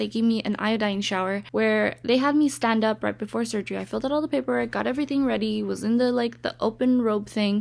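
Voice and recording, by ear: A woman's voice at medium pitch, with vocal fry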